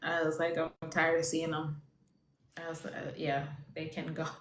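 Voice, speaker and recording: With a Jamaican accent, a woman speaks at a moderate pace. Audible room echo surrounds her voice. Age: 30s. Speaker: IVF patient sharing her story. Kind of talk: casual chat.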